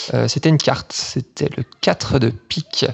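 The man's voice sits at a medium pitch, varying in an ordinary way. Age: 20s. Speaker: listener contributor. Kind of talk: monologue.

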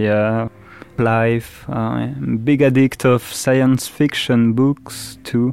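Someone speaks very slowly with a French accent and a monotone, flat intonation. Noticeable background noise runs underneath. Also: man. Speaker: musician. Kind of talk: interview. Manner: halting.

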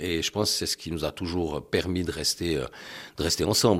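A man with a very deep, low pitch talks at a moderate pace on a very clean recording with a silent background. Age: 60s. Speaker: husband and caregiver of a person with MS. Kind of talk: testimony.

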